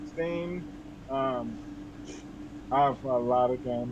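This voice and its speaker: A fairly high-pitched man's voice with audible room echo. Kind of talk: interview. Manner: halting, many fillers and repeats; slow.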